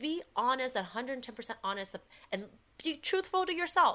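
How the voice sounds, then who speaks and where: A woman uses a high-pitched, raised and projected voice. Her tone is bright and sharp, with very wide pitch swings. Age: 30s. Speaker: actress. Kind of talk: casual chat.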